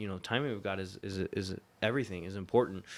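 An ordinary speaking voice with an American accent, ordinary pitch variation and a fairly quick pace, recorded very cleanly against a silent background. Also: man. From Florida. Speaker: pastor and missionary. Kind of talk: interview.

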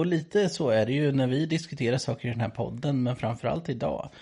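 A man talks at a medium pitch and a moderate pace over a quiet background. His tone is dark, mellow and somewhat breathy, with ordinary pitch variation. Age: 30s. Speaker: priest, podcast co-host. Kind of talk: casual chat.

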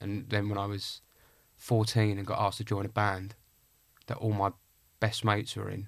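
The delivery is fairly quick, somewhat breathy and flat, almost monotone. The recording is very clean, with a silent background. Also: man. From Essex, England (Clacton-on-Sea). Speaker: actor. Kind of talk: casual interview.

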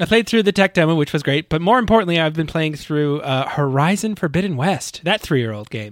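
An unremarkable speaking voice from a man, fairly high in pitch, with lively intonation, a fairly quick pace and hardly any pauses. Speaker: podcast co-host and editor. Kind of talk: casual chat recapping a video game. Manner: playful, laughs often.

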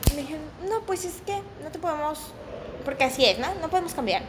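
Over noticeable background noise, a woman with an extremely high voice talks very fast with lively intonation, broken by long, frequent pauses. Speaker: podcast co-host. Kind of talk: casual chat.

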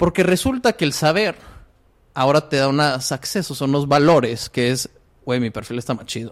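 This man has an unremarkable speaking voice pitched fairly high. He talks at a moderate pace with ordinary pitch variation. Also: very clean recording, silent background. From Monterrey, Mexico. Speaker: entrepreneur. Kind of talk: interview. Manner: filler-heavy casual speech.

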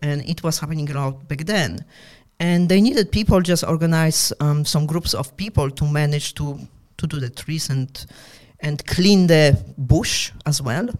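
Her pitch very deep and low, a woman speaks with ordinary pitch variation. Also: moderate pace. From Poland. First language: Polish. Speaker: entrepreneur. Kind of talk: casual interview chat. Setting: studio.

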